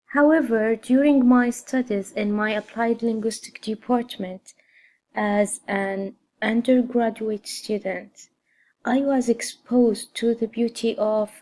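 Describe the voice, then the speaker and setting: An Arabic accent with a dark, mellow tone, fairly even intonation, and a very slow pace. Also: woman. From Saudi Arabia. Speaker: graduate student. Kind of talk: scripted personal statement.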